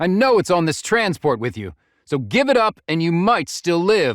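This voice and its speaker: In a put-on character voice, a man growls in a gruff, high-pitched tone with very wide pitch swings. He keeps a moderate pace on a very clean recording with a silent background. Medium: read story. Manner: gruff, snarling.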